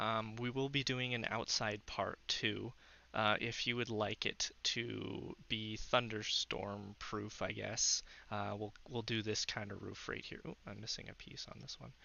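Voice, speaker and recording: With vocal fry and a fairly low pitch, a man speaks in a monotone, flat intonation. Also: fairly slow pace. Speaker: gaming tutorial creator. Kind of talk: tutorial. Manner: hesitant, many fillers.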